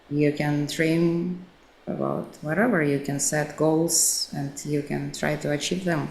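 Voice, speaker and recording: Amid audible room echo, a woman with a Russian accent and a very deep, low pitch speaks at a very slow pace with fairly even intonation. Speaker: actress and social media coach. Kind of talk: interview.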